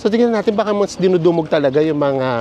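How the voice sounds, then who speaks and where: Noticeable background noise runs behind a man with a high pitch. His pitch swings very widely. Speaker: travel vlogger. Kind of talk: casual chat. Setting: outdoors. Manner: animated.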